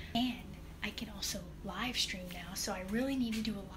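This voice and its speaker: A woman's voice at a fairly quick pace, with fairly even intonation and noticeable background noise. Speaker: vlogger. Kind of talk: casual vlog chat. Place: kitchen. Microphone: phone near.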